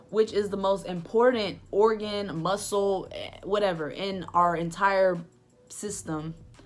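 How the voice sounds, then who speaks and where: Using a normal speaking voice, a woman talks at a fairly slow pace and medium pitch, with fairly even intonation but big swings in loudness. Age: 20s. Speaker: book reviewer vlogger. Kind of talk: casual vlog book review.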